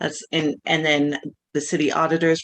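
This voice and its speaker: In a very deep, low voice, a woman speaks with monotone, flat intonation over a quiet background. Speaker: public commenter. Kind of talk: public comment. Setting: video call. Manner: mumbling.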